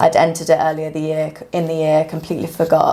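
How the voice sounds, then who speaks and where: A woman with a British accent, a very deep, low pitch, a dark, mellow tone and a very fast pace. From UK. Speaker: physiotherapist and runner. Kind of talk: casual podcast interview. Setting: podcast recording.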